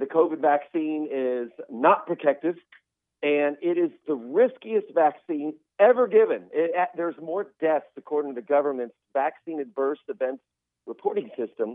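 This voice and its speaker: This man has an unremarkable speaking voice, fairly high in pitch. His intonation is lively. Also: moderate pace. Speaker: physician. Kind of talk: interview.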